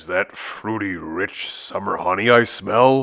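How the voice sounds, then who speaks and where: Using a put-on character voice, a man speaks at a fairly slow pace with a fairly low pitch. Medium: read story.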